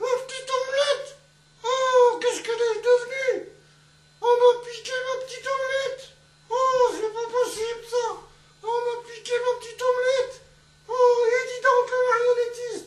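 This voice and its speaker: In a cartoonish character voice at an extremely high pitch, the speaker keeps a flat monotone at a moderate pace, with long, frequent pauses, big swings in loudness and slight echo. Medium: puppet.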